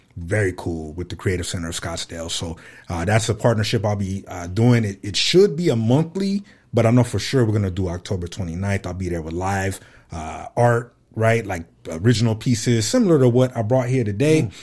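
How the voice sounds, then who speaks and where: A man with an American accent, fairly low in pitch and somewhat breathy, talking at a fairly quick pace with lively intonation in a very clean recording with a silent background. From Fresno, California. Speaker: podcaster and artist. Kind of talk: interview.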